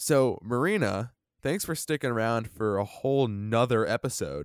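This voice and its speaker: The speech moves at a moderate pace. The recording is very clean and dry, with a close sound, no echo and a silent background. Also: man. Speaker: podcast host, roller coaster enthusiast. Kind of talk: casual chat podcast about theme parks.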